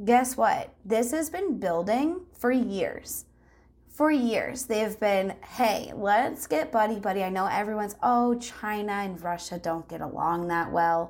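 This is a normal speaking voice with a Canadian accent. The intonation is lively. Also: woman, fairly high pitch for a woman, fairly slow pace. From Canada, rural Ontario. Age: 20s. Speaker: guest. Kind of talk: casual chat. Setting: video call.

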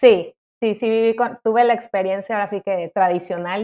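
Fairly quick in pace, a woman speaks in an ordinary speaking voice at medium pitch with ordinary pitch variation. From Mexico City, Mexico. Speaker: nursing graduate student. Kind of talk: interview. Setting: remote recording.

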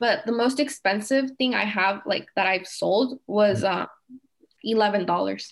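In an ordinary speaking voice, a woman talks at a fairly slow pace and fairly high pitch, with ordinary pitch variation and very even loudness. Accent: American. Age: 20s. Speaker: small business owner. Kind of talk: interview.

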